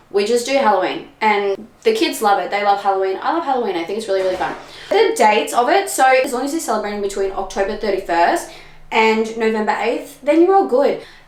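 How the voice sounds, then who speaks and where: Lively intonation at a very fast pace in an Australian accent, with audible room echo and noticeable background noise. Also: woman, fairly high pitch for a woman. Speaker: spiritual podcaster. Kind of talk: solo podcast talk. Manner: animated.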